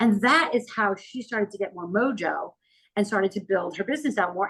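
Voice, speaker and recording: Lively intonation marks this woman's fairly quick delivery. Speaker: PR and LinkedIn consultant, company CEO. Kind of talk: podcast interview. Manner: fast.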